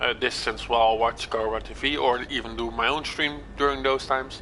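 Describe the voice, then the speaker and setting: With fairly even intonation, a man talks at a medium pitch and a moderate speed. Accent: Dutch. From Netherlands. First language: Dutch. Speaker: gaming livestreamer. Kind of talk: live gameplay stream chat. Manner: halting, repeats words.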